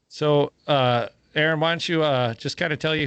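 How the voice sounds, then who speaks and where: A man with a Minnesota accent and fairly even intonation, over a quiet background. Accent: Midwest Minnesota. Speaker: podcast host, firefighter. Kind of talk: casual chat.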